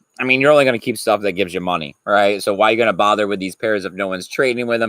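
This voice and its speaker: Words come very fast from a man with a fairly low pitch. His pitch varies in an ordinary way. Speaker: crypto news streamer. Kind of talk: casual live stream commentary. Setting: live stream with chat.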